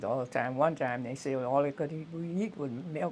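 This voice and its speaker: This woman's pitch is very deep and low. Her pitch varies in an ordinary way. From US South, southwest Louisiana. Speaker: retired teacher. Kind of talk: oral history interview. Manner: halting.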